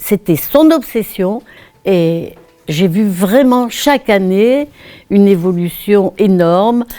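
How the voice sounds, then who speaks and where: A woman speaks at a very slow pace. Her pitch is medium, with ordinary pitch variation. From northern France, Pas-de-Calais (Béthune area). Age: 80s+. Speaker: retired primary school teacher. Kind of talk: interview, recounting memories.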